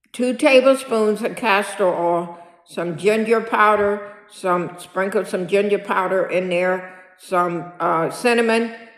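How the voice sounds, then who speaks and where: A woman at medium pitch with ordinary pitch variation, speaking at a very slow pace with hardly any pauses amid audible room echo. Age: 60s. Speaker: senior lifestyle vlogger. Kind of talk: casual vlog monologue. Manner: repetitive, filler-heavy.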